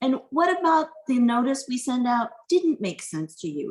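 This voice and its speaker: A woman speaks with a high pitch. Her voice makes very wide pitch swings. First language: not English. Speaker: university privacy officer. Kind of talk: panel discussion.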